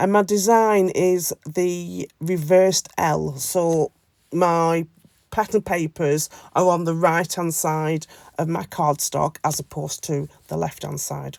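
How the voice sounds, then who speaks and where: In a British accent, a woman with a fairly low pitch speaks very slowly, the sound dry and close with no echo. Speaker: scrapbooking crafter. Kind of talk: craft tutorial voiceover. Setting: voiceover. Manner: hesitant, many fillers.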